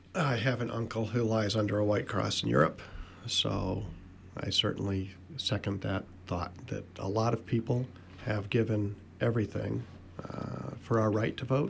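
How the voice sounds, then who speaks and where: Here a man with a fairly low pitch and an unremarkable speaking voice talks at a moderate pace with ordinary pitch variation. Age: 60s. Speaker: political activist. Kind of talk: radio panel discussion. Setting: radio studio.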